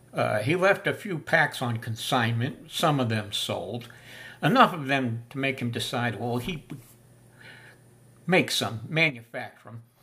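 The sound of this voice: The man speaks at a fairly slow pace with a bright, sharp tone. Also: medium pitch for a man, lively intonation.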